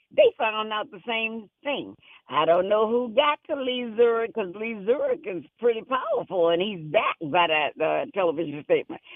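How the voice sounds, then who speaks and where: An animated speaker with an American accent talks at a fairly slow pace. The pitch swings very widely. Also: woman. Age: 70s. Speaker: caller. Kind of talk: call-in radio chat.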